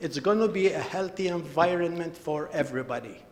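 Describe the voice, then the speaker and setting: There is noticeable background noise behind this man. He speaks in a high pitch at a moderate pace. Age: 70s. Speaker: resident addressing town council. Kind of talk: public delegation speech.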